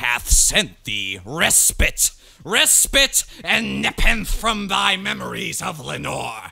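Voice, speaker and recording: A man talks at a very slow pace with vocal fry. His tone is bright, sharp and dramatic. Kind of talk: dramatic poetry reading.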